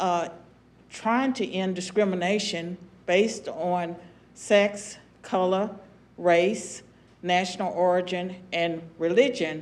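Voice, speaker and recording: A woman with an American accent speaks at a very slow pace and medium pitch, her intonation fairly even, with long, frequent pauses and audible room echo. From US South, southwestern Virginia. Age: 70s. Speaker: former political science professor and commentator. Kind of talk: panel discussion.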